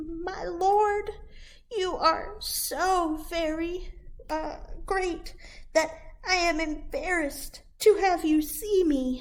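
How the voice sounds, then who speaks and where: A woman's put-on character voice, extremely high-pitched and timid in tone, at a very slow pace with long, frequent pauses. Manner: timid, embarrassed, deferential.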